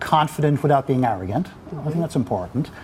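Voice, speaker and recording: A man talks with an Irish accent. His pitch is fairly high, and there is noticeable background noise. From Ireland. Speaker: business executive. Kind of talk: interview. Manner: halting, many fillers.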